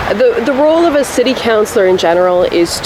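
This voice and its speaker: A woman with a Canadian accent, very fast in pace, with ordinary pitch variation and noticeable background noise. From Poland, raised in Canada. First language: Polish. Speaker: municipal election candidate. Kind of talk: interview.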